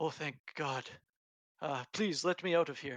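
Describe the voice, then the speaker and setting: A man's put-on character voice, fairly high in pitch, with ordinary pitch variation, a moderate pace, and a dry, close sound with no echo. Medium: actual play. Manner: polite, courtly.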